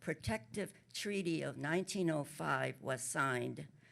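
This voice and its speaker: With a very deep, low pitch and vocal fry, a woman speaks at a fairly slow pace using lively intonation. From Korea. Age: 80s+. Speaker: author. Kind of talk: panel talk. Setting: stage with audience. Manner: halting.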